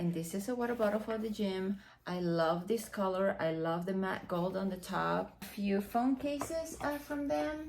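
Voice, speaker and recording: With a Dominican accent, a woman speaks in lively intonation with hardly any pauses. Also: medium pitch for a woman, moderate pace. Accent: Dominican Spanish accent, rolled R's. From Dominican Republic. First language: Spanish. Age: 40s. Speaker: fashion and beauty vlogger. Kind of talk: unboxing vlog. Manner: casual, many fillers.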